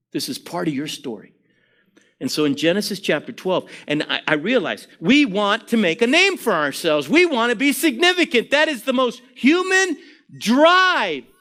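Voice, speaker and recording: A man's raised, projected voice, extremely high and bright, sharp, with very wide pitch swings, an animated tone and a moderate pace. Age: 60s. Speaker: preacher. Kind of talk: sermon.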